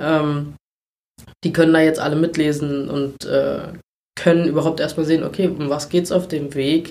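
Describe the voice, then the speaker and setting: At a moderate pace, a man speaks in a fairly high, monotone voice with flat intonation and long, frequent pauses. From Brandenburg, Germany. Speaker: volunteer firefighter. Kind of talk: interview. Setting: in person at guest's town. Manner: hesitant with many fillers.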